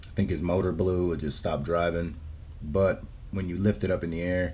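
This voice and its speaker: A man with a very deep, low voice speaks with vocal fry, and audible room echo surrounds him. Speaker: RC hobby YouTuber. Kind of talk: casual vlog. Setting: home garage.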